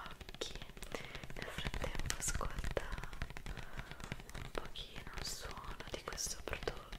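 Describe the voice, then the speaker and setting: A woman's voice at a very slow pace. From Italy. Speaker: ASMR creator. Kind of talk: ASMR skincare roleplay. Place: home room. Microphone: studio mic.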